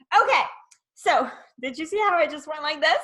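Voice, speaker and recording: This woman's voice is raised and projected, with an extremely high pitch. Her intonation is lively. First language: not English. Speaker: networking host. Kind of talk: casual interview.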